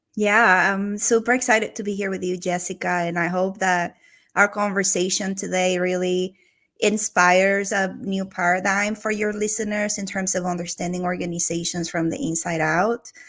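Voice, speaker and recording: At a moderate pace, a woman with a Venezuelan accent speaks at a medium pitch with fairly even intonation, on a very clean recording with a silent background. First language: Spanish. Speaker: organizational transformation executive. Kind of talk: podcast interview.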